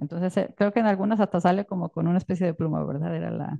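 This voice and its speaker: Against a quiet background, a woman with a Mexican accent speaks in a fairly low pitch with a dark, mellow tone. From Mexico. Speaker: illustrator and author. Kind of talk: book presentation talk. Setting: stage with audience. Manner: halting. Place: tent.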